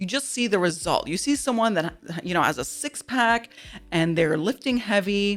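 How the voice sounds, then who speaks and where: Loud and animated, a woman speaks at a medium pitch with very wide pitch swings. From Dubai. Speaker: podcast guest. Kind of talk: casual chat.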